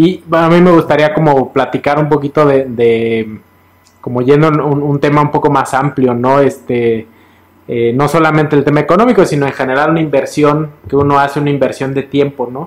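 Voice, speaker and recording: At a moderate pace, a man speaks with fairly even intonation in a fairly high voice. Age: middle-aged. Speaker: financial advisor. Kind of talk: casual chat. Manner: halting.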